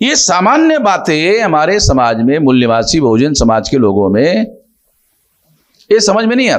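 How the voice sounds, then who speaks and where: A man talks at a high pitch with very wide pitch swings. His loudness stays very even. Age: 60s. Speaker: social organization leader. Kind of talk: conversational interview. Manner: emphatic, repetitive.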